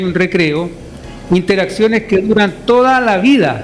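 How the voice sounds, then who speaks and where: Noticeable background noise runs under a man whose pitch varies in an ordinary way. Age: 50s. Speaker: education researcher. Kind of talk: radio interview. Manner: repeats words often.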